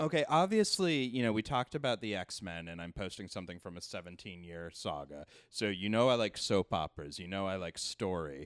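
On a very clean recording with a silent background and a dry, close sound with no echo, a man with an unremarkable speaking voice talks at a fairly quick pace and fairly low pitch, using lively intonation and hardly any pauses. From Canada. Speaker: storytelling show producer and tech. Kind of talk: casual chat. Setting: at the guest's home.

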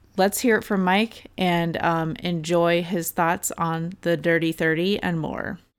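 The woman's voice sits at a fairly low pitch. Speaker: podcast host. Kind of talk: casual chat.

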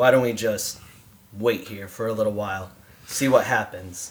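Putting on a raspy character voice, a man talks at a moderate pace and medium pitch, with fairly even intonation and big swings in loudness. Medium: audio drama. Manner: terse, gruff.

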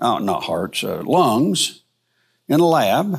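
A man with an American accent uses very wide pitch swings and vocal fry. The recording is very clean, with a silent background. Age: 60s. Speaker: Bible teacher. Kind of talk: lecture. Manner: halting.

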